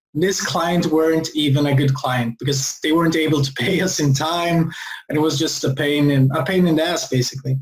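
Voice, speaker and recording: A man talks at a fairly quick clip with a fairly high pitch. His loudness stays very even and his intonation fairly even. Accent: Swedish. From Sweden. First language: Swedish. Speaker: entrepreneur. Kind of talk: interview.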